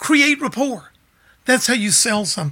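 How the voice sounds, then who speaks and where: A man speaks in a raised, projected voice with a Memphis accent. His tone is animated. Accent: Southern US, Memphis. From Memphis, Tennessee. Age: 60s. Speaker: music store owner and musician. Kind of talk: casual interview storytelling. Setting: studio. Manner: charismatic, animated storyteller.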